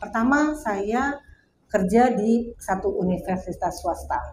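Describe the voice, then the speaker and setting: There is vocal fry in this woman's medium-pitched voice. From Jakarta, Indonesia. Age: 60s. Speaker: burial plot sales counselor. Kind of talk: interview. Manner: halting, with fillers.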